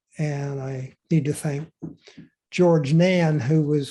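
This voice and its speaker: A man with an American accent speaks very slowly in a fairly high, somewhat breathy voice with a dark, mellow tone. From Pittsburgh, Pennsylvania. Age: 70s. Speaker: retired anthropology professor and photographer. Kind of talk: interview, talking about himself.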